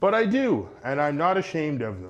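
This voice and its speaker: A man speaks in a plain, everyday voice with a Canadian accent. His moderate pace comes with lively intonation. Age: 30s. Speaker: mental health advocate. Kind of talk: speech.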